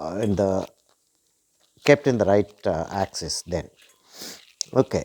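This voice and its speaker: In a dry, close sound with no echo, a man's voice makes very wide pitch swings. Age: 70s. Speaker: watercolor artist. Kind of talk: tutorial. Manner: halting.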